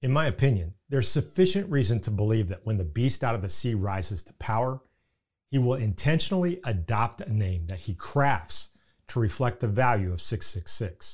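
A man with an Indiana accent, somewhat breathy, at a moderate pace with very wide pitch swings, in a very clean recording with a silent background. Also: medium pitch for a man. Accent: Indiana Midwestern American. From US Midwest, Indiana. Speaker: podcast host, Bible teacher. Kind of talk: scripted religious teaching podcast narration. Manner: formal, measured.

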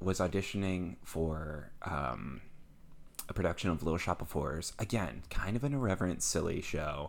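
The speaker has an American accent and vocal fry. Delivery is at a moderate pace with lively intonation. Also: man. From US Midwest. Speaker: actor and director. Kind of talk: casual interview chat.

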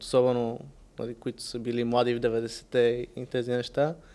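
A man speaks at a moderate pace. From Bulgaria (Sofia and Varna). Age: 20s. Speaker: tech entrepreneur. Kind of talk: casual interview.

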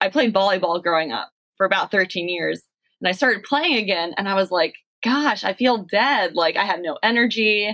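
With an ordinary speaking voice, a woman talks at medium pitch and a moderate pace, her intonation lively. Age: 30s. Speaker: physical education teacher. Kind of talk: casual chat.

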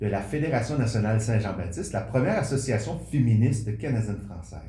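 With lively intonation and audible room echo, a man speaks at a medium pitch and a moderate pace. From Quebec. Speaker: podcast host. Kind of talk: interview; scripted narration.

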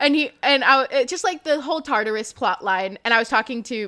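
Lively intonation and a bright, sharp tone mark this woman's fairly quick speech. The recording is very clean, with a silent background. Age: 20s. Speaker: musical theater podcaster. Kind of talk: casual chat.

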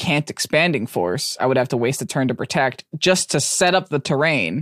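The speaker is male. He talks neither fast nor slow. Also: dry, close sound with no echo, very clean recording, silent background. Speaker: podcast co-host and competitive player. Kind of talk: casual chat. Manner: loud; laughs often.

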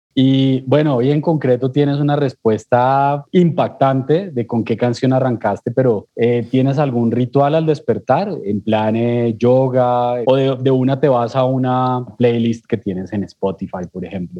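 A dark, mellow tone with ordinary pitch variation, a fairly slow pace and hardly any pauses. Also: man, medium pitch for a man. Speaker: podcast host. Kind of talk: podcast interview.

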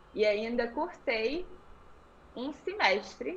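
Noticeable background noise surrounds a woman speaking in a fairly high pitch. Her pitch swings very widely. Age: 20s. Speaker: yoga instructor. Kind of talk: interview.

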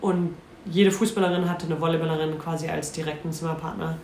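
With noticeable background noise and audible room echo, a woman speaks at a fairly quick pace in a fairly low pitch. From North Rhine-Westphalia. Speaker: football player. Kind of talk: casual chat.

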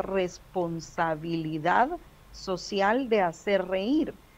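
A woman talks at a very slow pace with lively intonation. Her pitch sits in the medium range. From Guatemala City. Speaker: stand-up comedian. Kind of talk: casual chat. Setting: video call.

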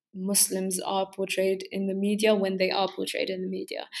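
A woman speaks at a medium pitch. She talks with a London accent. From northwest London. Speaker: university student. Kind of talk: casual chat.

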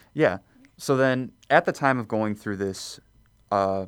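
A plain, everyday voice from a man with an American accent, fairly low in pitch, at a moderate pace with ordinary pitch variation, on a very clean recording with a silent background. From Chicago suburbs, Illinois. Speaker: seminarian. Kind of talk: radio interview.

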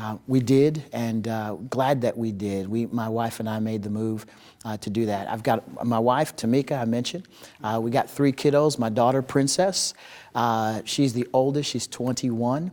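A man with an American accent and a normal speaking voice, medium in pitch, with ordinary pitch variation and a moderate pace. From upstate New York, Utica, then Oklahoma. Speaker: ministry director and former pastor. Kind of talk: interview conversation.

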